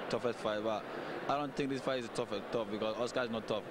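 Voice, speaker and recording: A man talking at a very fast pace, dry with no echo, over loud background noise. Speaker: interviewee. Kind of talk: interview answer. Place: hall. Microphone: handheld.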